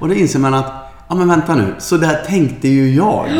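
A man talks at a moderate pace with a fairly high pitch. The recording has audible room echo and noticeable background noise. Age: 50s. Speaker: podcast co-host and yoga trainer. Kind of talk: casual chat.

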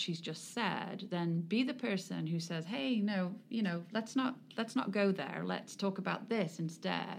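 This speaker talks at a moderate pace with an English accent. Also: woman. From England. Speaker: sports club executive and charity foundation president. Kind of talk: interview.

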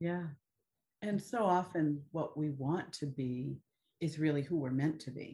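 Somewhat breathy and dark, mellow in tone, a woman with a very deep, low pitch and ordinary pitch variation speaks at a fairly slow pace with long, frequent pauses. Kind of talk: casual conversation. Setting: video call.

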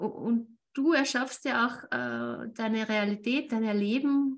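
Fairly high female voice, somewhat breathy, its pitch rising and falling in an ordinary way. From Austria. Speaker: networking entrepreneur and interview show host. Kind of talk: casual interview chat.

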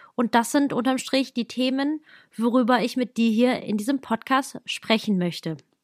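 At a moderate pace, a woman talks in a high pitch with ordinary pitch variation. The sound is dry and close with no echo, on a very clean recording with a silent background. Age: 30s. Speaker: wedding planner. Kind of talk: solo podcast monologue.

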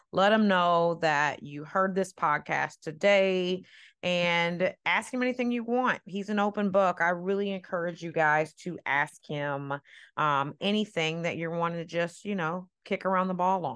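Against a quiet background, a woman uses a plain, everyday voice, fairly low in pitch, at a fairly slow pace. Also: ordinary pitch variation. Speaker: podcast host and nutrition coach. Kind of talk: casual chat. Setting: video call.

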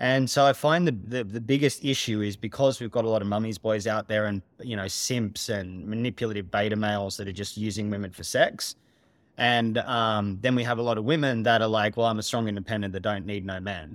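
The delivery is fairly quick, with ordinary pitch variation. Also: man, fairly low pitch for a man. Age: 40s. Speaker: holistic therapist and coach. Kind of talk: podcast interview. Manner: direct.

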